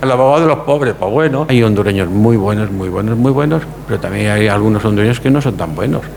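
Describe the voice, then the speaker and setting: Over noticeable background noise, a man talks at a very fast pace. His pitch is fairly low and he leaves hardly any pauses. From Spain, Andalusia (Córdoba), raised in Barcelona. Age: 70s. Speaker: lawyer. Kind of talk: interview. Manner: halting, many repetitions.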